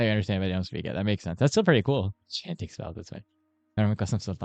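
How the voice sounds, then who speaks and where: A man with an American accent talks at a fairly quick pace in a fairly low pitch, his voice dry and close with no echo against a quiet background. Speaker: medical student streamer. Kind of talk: casual chat with live chat. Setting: live study stream. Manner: fast.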